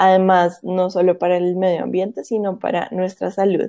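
The woman's voice has a dark, mellow tone. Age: 20s. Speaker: cooking content creator. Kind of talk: interview conversation. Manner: hesitant fillers.

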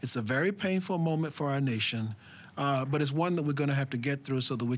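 A man with an American accent talks at a very fast pace with ordinary pitch variation, on a very clean recording with a silent background. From US South. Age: 70s. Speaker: political scientist. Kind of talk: interview.

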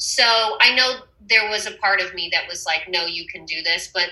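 With an American accent, this woman talks at a medium pitch, her tone bright and sharp. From Texas. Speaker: singer-songwriter. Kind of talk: casual interview.

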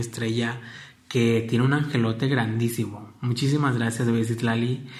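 Medium pitch from a man at a moderate pace, with fairly even intonation and audible room echo. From Mexico, Michoacán (Apatzingán). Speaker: podcast host, fashion platform founder. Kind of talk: personal monologue.

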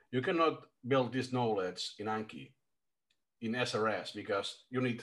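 A man speaks at a fairly slow pace. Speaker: language learner. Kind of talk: casual chat.

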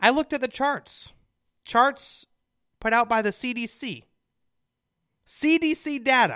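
On a very clean recording with a silent background, a man with an extremely high pitch and a bright, sharp tone uses a raised, projected voice at a very slow pace, with ordinary pitch variation and long, frequent pauses. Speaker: conservative radio host. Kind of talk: political talk radio monologue. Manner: opinionated, emphatic.

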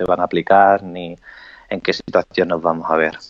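A man talks in a monotone, flat intonation. The sound is dry and close with no echo, over a quiet background. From Spain. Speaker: interviewee on quarantine life. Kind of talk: interview over live video.

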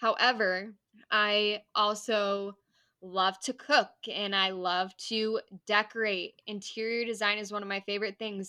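A woman with an American accent speaks at a fairly slow pace and medium pitch, her intonation flat and monotone. Her tone is bright and sharp, and the recording is very clean with a silent background. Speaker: podcast co-host. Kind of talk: casual chat.

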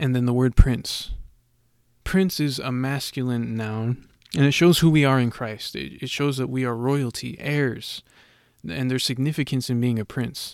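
Recorded very cleanly against a silent background, the voice is a normal speaking voice at a moderate pace with ordinary pitch variation. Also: man, medium pitch for a man. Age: 20s. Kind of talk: solo monologue. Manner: casual with fillers.

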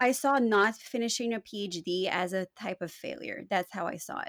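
In an ordinary speaking voice, a woman talks at a moderate pace with lively intonation. The sound is dry and close with no echo, on a very clean recording with a silent background. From Canada. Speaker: postdoctoral researcher in environmental policy. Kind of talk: casual interview conversation.

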